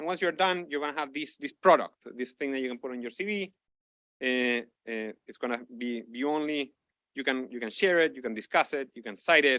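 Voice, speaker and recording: Recorded dry and close with no echo, a man speaks fairly quickly at a fairly high pitch with ordinary pitch variation. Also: big swings in loudness. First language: not English. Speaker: researcher presenting a tool. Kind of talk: conference lightning talk. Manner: halting, many repetitions and fillers.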